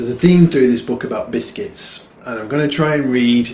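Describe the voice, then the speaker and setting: With a northern English accent, a man talks at a fairly slow pace amid audible room echo. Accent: northern English, gruff. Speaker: poet. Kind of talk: poetry reading. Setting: online livestream.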